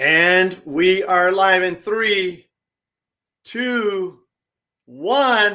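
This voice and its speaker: In a raised, projected voice, a man speaks at a very slow pace with long, frequent pauses, a high pitch and a bright, sharp tone. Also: ordinary pitch variation. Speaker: coach and livestream host. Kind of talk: podcast host interviewing a guest.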